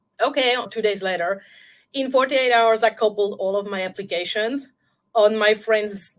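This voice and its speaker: This woman has a French accent and a medium pitch. She talks at a moderate pace with ordinary pitch variation. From France. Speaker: intuitive guide and film scholar. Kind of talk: interview.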